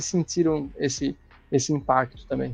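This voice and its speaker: With music in the background, a man with a northeastern Brazilian accent speaks at a moderate pace and a fairly high pitch. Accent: Northeast Brazilian. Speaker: motorcycle youtuber and test rider. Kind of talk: casual chat.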